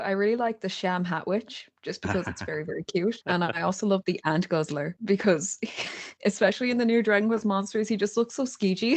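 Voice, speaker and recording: In an Irish accent, a woman talks at a medium pitch and moderate pace. Her pitch varies in an ordinary way. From Ireland. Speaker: YouTuber. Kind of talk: podcast interview answer.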